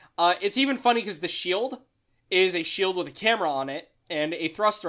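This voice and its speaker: The speech comes at a moderate pace on a very clean recording with a silent background. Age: 20s. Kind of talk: casual chat.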